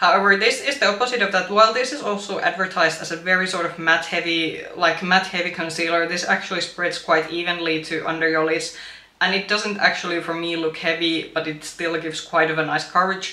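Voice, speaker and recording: A woman talks with fairly even intonation. The recording has audible room echo and noticeable background noise. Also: fairly low pitch for a woman. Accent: non-native. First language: not English. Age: 30s. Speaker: beauty youtuber. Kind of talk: product review. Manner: halting, many fillers.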